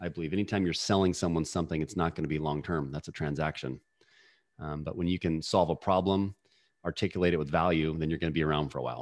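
Over a quiet background, a man with a very deep, low pitch and vocal fry talks very fast with fairly even intonation. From Washington State, US. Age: 40s. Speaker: sales and leadership coach. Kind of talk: podcast interview.

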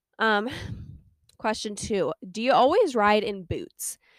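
A woman talks in an ordinary speaking voice at a moderate pace, pitched fairly high. Her intonation is lively, and the sound is dry and close with no echo. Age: 20s. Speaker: podcast host and horse owner. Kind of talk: casual solo podcast chat. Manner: chatty, lots of fillers.

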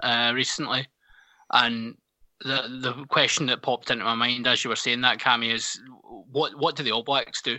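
Flat, monotone intonation carries a Scottish accent. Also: man. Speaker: podcast co-host. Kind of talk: casual chat.

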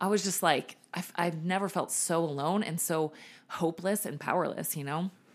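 With an American accent, a woman speaks in an ordinary speaking voice at a moderate pace, with fairly low pitch and fairly even intonation. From Virginia, Richmond. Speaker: personal trainer and nutrition coach. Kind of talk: casual interview, personal testimony.

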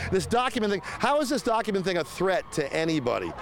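An animated man talking at a fairly quick pace, lively in intonation, over noticeable background noise. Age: 60s. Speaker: voter at a campaign event. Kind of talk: street interview.

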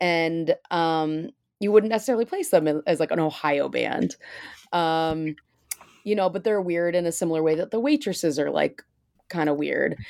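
This woman has a plain, everyday voice, fairly low in pitch with ordinary pitch variation. The recording is very clean and silent behind her, the sound dry and close with no echo. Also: moderate pace. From Michigan, US Midwest. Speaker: author and musician. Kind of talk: interview. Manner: casual with many fillers.

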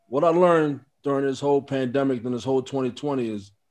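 A man with a fairly high voice talks at a fairly quick pace in an ordinary speaking voice. His intonation stays fairly even. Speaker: guest, friend of host. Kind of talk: casual chat.

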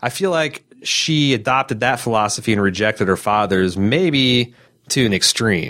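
With an American accent and an ordinary speaking voice, a man talks at a moderate pace and medium pitch, his intonation lively and his loudness very even. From US Midwest. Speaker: podcast host. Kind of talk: casual chat.

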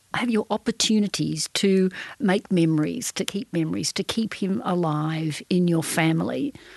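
Lively intonation comes through with an Australian accent in a dry, close sound with no echo. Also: woman. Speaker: journalist and podcast facilitator. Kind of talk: interview. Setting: studio.

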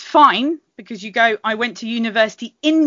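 Speaking with a British accent, a woman uses a fairly high pitch and lively intonation. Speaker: history researcher. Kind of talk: casual chat. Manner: halting, many fillers.

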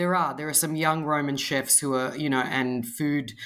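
A woman with an Australian accent speaks at a moderate pace in a very deep, low voice. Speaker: author and food blogger. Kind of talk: casual interview chat.

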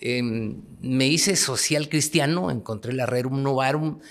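A man speaks at a moderate pace in a medium pitch with ordinary pitch variation, on a very clean recording with a silent background. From Guatemala, Huehuetenango. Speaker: politician and presidential candidate. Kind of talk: political interview. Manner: halting, repeats words.

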